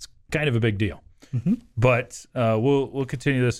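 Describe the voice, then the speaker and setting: Using an ordinary speaking voice, a man talks at a medium pitch with ordinary pitch variation. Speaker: radio sports talk host. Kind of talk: casual sports talk chat. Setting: radio studio.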